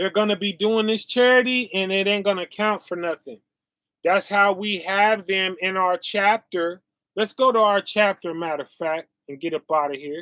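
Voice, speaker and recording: A man's raised, projected voice sounds high, bright and sharp, recorded dry and close with no echo. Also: ordinary pitch variation. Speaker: bible teacher. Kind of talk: sermon. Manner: slow, deliberate.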